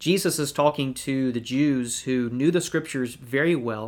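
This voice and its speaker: Recorded very cleanly with a silent background, a man speaks in a normal speaking voice at a medium pitch and moderate pace, with ordinary pitch variation. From Georgia, US South. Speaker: evangelist and podcast co-host. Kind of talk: Bible study discussion.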